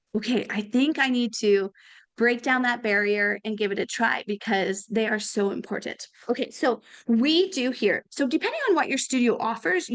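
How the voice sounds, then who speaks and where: Using a normal speaking voice, a woman talks at a moderate pace with fairly high pitch and ordinary pitch variation. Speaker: presenter. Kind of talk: casual, enthusiastic.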